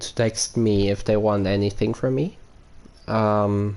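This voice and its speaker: With a German accent, a man speaks in a fairly low pitch, his tone dark and mellow and his intonation flat and monotone. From Germany. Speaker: gaming streamer. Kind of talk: live stream chat. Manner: halting, many fillers.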